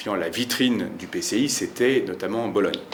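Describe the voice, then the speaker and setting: A man rattles off his words very quickly while noticeable noise sits behind him. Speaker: historian and author. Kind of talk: book talk. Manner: fast; hesitant, many fillers.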